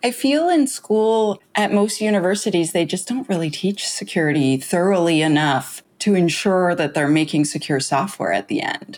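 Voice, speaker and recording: In a plain, everyday voice, the speaker moves at a moderate pace with lively intonation. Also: woman, fairly low pitch for a woman, hardly any pauses. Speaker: security author and founder. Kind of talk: casual interview chat.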